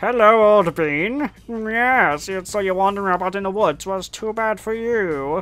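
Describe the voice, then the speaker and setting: A put-on character voice at a middle pitch, moderate in pace, with hardly any pauses. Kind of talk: posh. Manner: polite and menacing.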